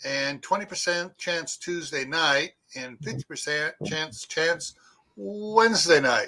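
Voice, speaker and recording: A man's high voice at a very slow pace, with lively intonation. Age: 60s. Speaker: homesteader vlogger. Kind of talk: casual chat.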